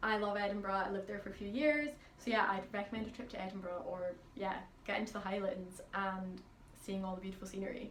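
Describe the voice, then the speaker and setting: A woman's very fast speech with fairly even intonation, audible room echo and noticeable background noise. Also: medium pitch for a woman. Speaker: pianist. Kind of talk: casual Q&A vlog. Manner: chatty.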